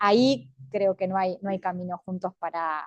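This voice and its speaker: A woman at a medium pitch talks at a fairly slow pace in an ordinary speaking voice. The sound is dry and close with no echo, over a quiet background. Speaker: feminist academic panelist. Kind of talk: panel talk.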